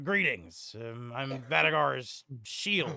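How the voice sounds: A man's gruff, put-on character voice at medium pitch and a very slow pace.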